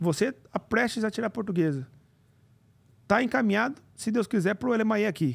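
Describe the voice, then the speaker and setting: A man speaks at a moderate pace in a high pitch with lively intonation. His loudness stays very even, broken by long, frequent pauses. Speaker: immigration youtuber and mentor; immigration youtuber. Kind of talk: live stream interview. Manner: casual. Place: studio. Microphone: studio mic.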